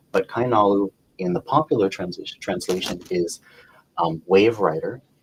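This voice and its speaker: Recorded with a dry, close sound and no echo, a man talks at a moderate pace in a fairly low pitch with ordinary pitch variation. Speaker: psychic reader. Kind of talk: casual live stream chat. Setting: Facebook live video stream.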